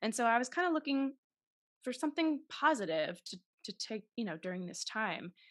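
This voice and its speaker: Against a quiet background, a woman with an American accent talks at a fairly quick pace in a high pitch with very wide pitch swings. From Massachusetts, Taunton south of Boston. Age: 30s. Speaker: actress and podcast host. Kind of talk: interview.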